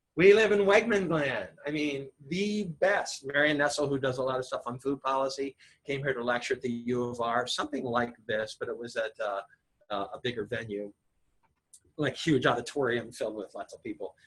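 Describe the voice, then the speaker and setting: This somewhat breathy man has an American accent, a fairly high pitch and lively intonation. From Ohio. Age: 60s. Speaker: acupuncturist. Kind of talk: public talk. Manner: fast.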